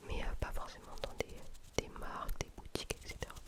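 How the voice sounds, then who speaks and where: A woman whispers over noticeable background noise. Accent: southern French. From southern France (south-west, near Toulouse). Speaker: ASMR YouTuber. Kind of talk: ASMR Q&A chat. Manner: soft-spoken.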